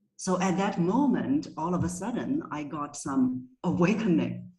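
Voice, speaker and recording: A woman with a Chinese accent speaks in a fairly low, somewhat breathy voice with lively intonation, and room echo can be heard. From China. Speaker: voice coach. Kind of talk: interview.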